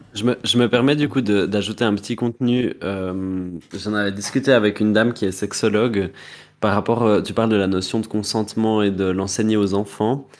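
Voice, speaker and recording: Using an unremarkable speaking voice, a man talks at a moderate pace in a fairly low pitch with fairly even intonation, on a very clean recording with a silent background. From Neuchâtel, Switzerland. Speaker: drag queen podcast co-host. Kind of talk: casual chat.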